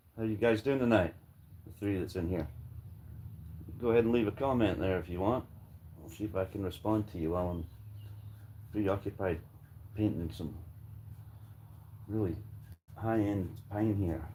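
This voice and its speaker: With an American accent, a man speaks at a moderate pace in a fairly low, somewhat breathy voice of dark, mellow, relaxed tone and ordinary pitch variation, with long, frequent pauses. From Scotland. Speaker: woodworking livestreamer, former home builder. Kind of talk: casual livestream chat while painting. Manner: relaxed, joking.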